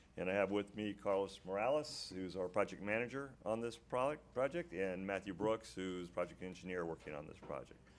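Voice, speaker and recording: With ordinary pitch variation and a fairly low pitch, a man speaks at a fairly quick pace, hardly pausing at all. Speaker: drainage engineer. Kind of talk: presentation at a public meeting. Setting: town commission meeting. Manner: halting, many fillers and repeats; loud. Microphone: too quiet at first, mic pulled closer.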